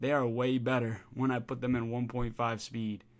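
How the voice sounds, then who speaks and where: In a very clean recording with a silent background, a man speaks at a moderate pace and medium pitch. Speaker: gaming YouTuber. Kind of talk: video game commentary. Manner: casual.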